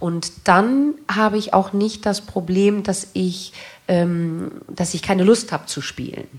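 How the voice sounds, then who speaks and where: The speaker is a woman with a medium pitch. She talks at a very slow pace. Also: ordinary pitch variation. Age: 40s. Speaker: stage actress. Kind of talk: interview on stage. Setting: stage with audience.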